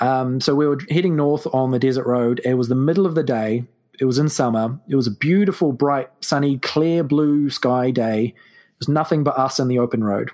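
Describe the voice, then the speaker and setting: Speaking with a New Zealand accent, a man with a dark, mellow tone at medium pitch keeps a moderate pace with hardly any pauses, ordinary pitch variation, and big swings in loudness. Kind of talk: casual chat with storytelling.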